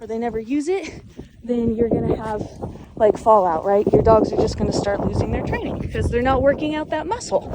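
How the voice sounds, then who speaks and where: Over noticeable background noise, a woman with a high pitch speaks at a fairly quick pace with ordinary pitch variation. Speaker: dog trainer. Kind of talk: tutorial. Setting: outdoors. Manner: casual, filler-heavy; firm commands to dogs.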